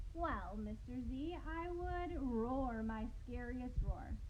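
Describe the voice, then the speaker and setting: Using a put-on character voice at a high pitch, a woman speaks at a very slow pace over clear background noise. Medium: read story.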